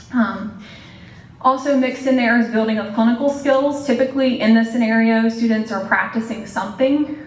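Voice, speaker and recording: A woman with a fairly high pitch talks at a very fast pace. The recording carries audible room echo and noticeable background noise. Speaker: nursing professor. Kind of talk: lecture.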